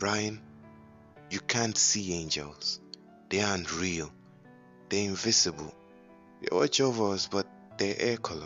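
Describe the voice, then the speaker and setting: With music in the background, a man of fairly low pitch talks at a fairly slow pace with ordinary pitch variation and long, frequent pauses. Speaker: voice actor. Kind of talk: horror story narration. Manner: dramatic, enthusiastic.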